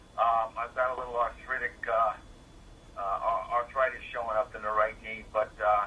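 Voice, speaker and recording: Noticeable background noise runs under the speech. The pace is moderate. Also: man. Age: 50s. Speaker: caller. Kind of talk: radio call-in question. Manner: halting, many fillers.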